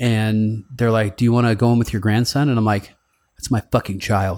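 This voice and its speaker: In a very clean recording with a silent background, a man with an unremarkable speaking voice talks at medium pitch and a moderate pace. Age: 40s. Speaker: podcast host and radio talk host. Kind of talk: casual chat.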